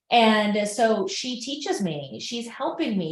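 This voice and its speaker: Somewhat breathy and fairly high-pitched, a woman speaks with lively intonation. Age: 50s. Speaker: holistic health practitioner. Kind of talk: casual chat. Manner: animated.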